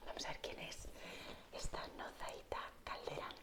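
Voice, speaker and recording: Whispering at a fairly slow pace, a woman is heard against noticeable background noise. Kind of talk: ASMR whispered explanation to camera. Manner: whispered, soft, relaxing.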